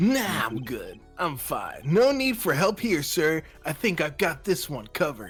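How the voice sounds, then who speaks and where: In a put-on character voice at a middle pitch, the speaker sounds raspy and strained, with very wide pitch swings, a moderate pace and faint music in the background. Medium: game stream. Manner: nervous, stammering.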